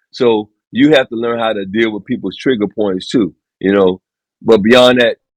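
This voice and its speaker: A man speaks at a medium pitch and a moderate pace. The sound is dry and close with no echo, and his intonation stays fairly even. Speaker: podcast guest. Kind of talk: casual chat. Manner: loud.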